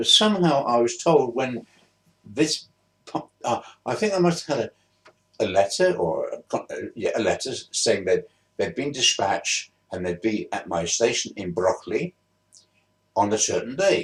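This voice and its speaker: With a London accent, a man talks at a moderate pace, leaving long, frequent pauses. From southeast London, England. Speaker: vlogger. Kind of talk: casual storytelling. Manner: halting.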